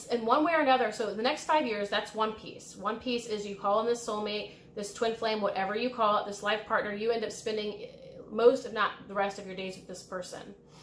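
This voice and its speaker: With an American accent, a woman speaks fairly quickly at a fairly high pitch, with ordinary pitch variation and noticeable background noise. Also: big swings in loudness. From US Midwest, Illinois. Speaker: tarot reader and spiritual guide. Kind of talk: pick-a-card tarot reading. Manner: casual, with fillers and hesitations.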